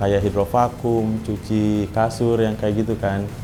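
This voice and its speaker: With music in the background, a man speaks very slowly in a fairly low, monotone, flat voice. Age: 20s. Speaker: cleaner and university student. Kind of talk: interview testimony. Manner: casual, hesitant with fillers.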